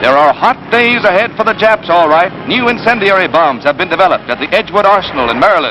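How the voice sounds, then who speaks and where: Raising and projecting his high voice, a man talks very fast with ordinary pitch variation over noticeable background noise. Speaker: newsreel narrator. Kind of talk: wartime newsreel narration.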